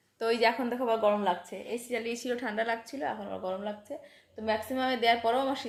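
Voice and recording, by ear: Her voice carries vocal fry, and the woman's intonation stays fairly even.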